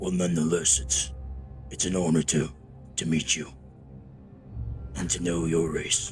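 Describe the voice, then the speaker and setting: Over clear music in the background, a man uses a put-on character voice, very deep and low, with fairly even intonation at a moderate pace and long, frequent pauses. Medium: actual play. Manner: measured, courteous.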